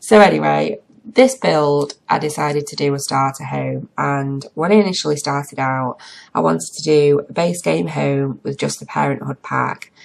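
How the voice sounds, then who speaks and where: A woman in an English accent speaks at a moderate pace with big swings in loudness. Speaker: gaming youtuber. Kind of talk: voiceover commentary. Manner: chatty.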